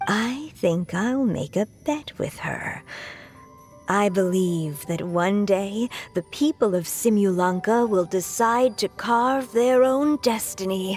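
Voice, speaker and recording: At a fairly slow pace and medium pitch, a female-sounding put-on character voice with a warm tone plays over faint music in the background. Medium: video game. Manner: warm, wry, affectionate.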